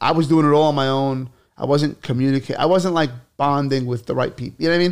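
Talking at a very fast pace in a New York accent, a man uses a fairly high pitch with ordinary pitch variation. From New York City, Brooklyn (Bay Ridge). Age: 30s. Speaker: comedian. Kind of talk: casual chat. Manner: animated.

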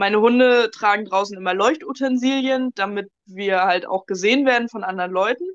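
A woman speaks in an unremarkable speaking voice at a fairly high pitch, with ordinary pitch variation and hardly any pauses. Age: 20s. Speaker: dog trainer. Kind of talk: casual interview, storytelling.

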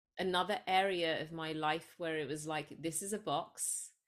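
In a very clean recording with a silent background, a woman with an English accent speaks fairly slowly at a fairly low pitch, her intonation fairly even. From England, Sri Lankan parents. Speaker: psychologist and spiritual coach. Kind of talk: casual interview.

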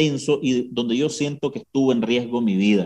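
A man speaks with a Nicaraguan accent at a moderate pace. His tone is dark and mellow. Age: 30s. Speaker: journalist. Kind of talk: interview.

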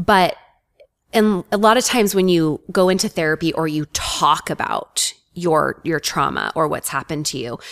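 A woman's plain, everyday voice, fairly low in pitch, with ordinary pitch variation. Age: 40s. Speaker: life coach. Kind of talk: interview.

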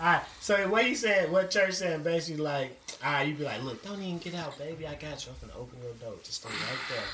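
Very fast speech with lively intonation, big swings in loudness, audible room echo and noticeable background noise. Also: man, high pitch for a man. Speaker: podcast host. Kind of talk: casual chat.

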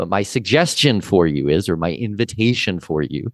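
A man's voice with vocal fry, on a very clean recording with a silent background. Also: dry, close sound with no echo. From Canada. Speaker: expat and tax consultant. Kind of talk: interview conversation.

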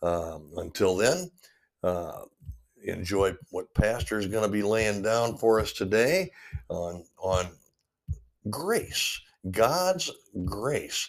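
Lively intonation from a man with a fairly low pitch, at a very slow pace with long, frequent pauses. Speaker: radio host. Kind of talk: casual chat. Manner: halting.

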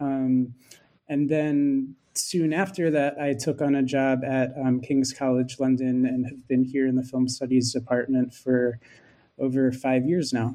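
In a Philadelphia accent, a man with a medium pitch and a dark, mellow tone speaks fairly slowly in a monotone, flat intonation. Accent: American (Philadelphia area). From US, Philadelphia. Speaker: film studies lecturer. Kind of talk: academic interview.

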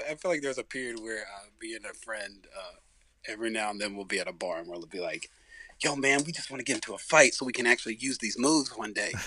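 Amid noticeable background noise, a man with an American accent talks at a very fast pace and medium pitch, with ordinary pitch variation and big swings in loudness. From Alabama, US South (Tuscaloosa). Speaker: actor. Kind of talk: casual chat.

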